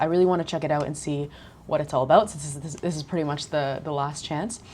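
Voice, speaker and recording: A woman with a Canadian accent speaks at a very fast pace. Her pitch is very deep and low, her intonation fairly even. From Canada. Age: 20s. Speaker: digital nomad vlogger. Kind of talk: casual talk to camera.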